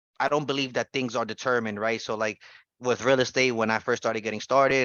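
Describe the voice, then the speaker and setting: Talking at a very fast pace, a man with a New York accent keeps a fairly even intonation. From New York City (the Bronx). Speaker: trading educator, former real estate investor. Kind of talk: casual personal story on a group call. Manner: halting, many fillers and restarts.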